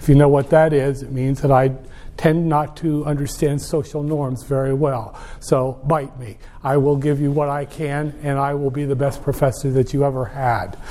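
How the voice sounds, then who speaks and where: Here a man speaks at a moderate pace with a fairly high pitch for a man. His intonation is monotone and flat. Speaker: college professor. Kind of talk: lecture. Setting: classroom. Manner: loud, aggressive.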